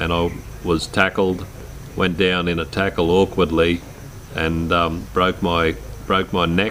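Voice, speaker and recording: A man with a rural Australian accent talks at a fairly slow pace in a very deep, low pitch. His intonation is monotone and flat, with noticeable background noise. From rural Queensland, Australia. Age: 60s. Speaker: quadriplegic man telling his life story. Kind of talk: personal life story narration. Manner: hesitant, many fillers.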